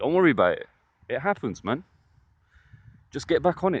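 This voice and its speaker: Against a quiet background, a man's voice comes through dry and close with no echo. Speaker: men's self-improvement vlogger. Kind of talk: casual vlog monologue. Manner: casual, with frequent fillers.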